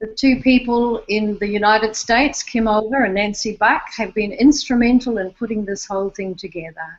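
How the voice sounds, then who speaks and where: A woman's fairly high voice in an Australian accent, at a moderate pace with ordinary pitch variation. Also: hardly any pauses. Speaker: online summit host, interviewer. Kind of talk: online interview. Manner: halting, repeats words.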